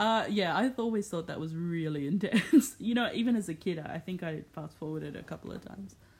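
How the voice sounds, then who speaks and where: Speaking at a fairly quick pace with hardly any pauses, a woman has a medium pitch and lively intonation. Her voice is somewhat breathy and shows big swings in loudness. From El Salvador, raised in Australia. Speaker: podcast co-host. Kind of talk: casual chat. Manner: animated.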